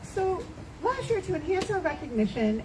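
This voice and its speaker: Over noticeable background noise, a woman talks loudly at a fairly quick pace. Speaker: charity director presenting at event. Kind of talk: event speech to audience. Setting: in-person event with audience.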